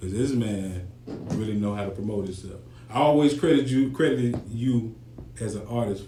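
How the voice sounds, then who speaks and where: In a room with audible echo, a man with a fairly low voice talks at a moderate pace with ordinary pitch variation. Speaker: podcast host. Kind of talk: podcast interview.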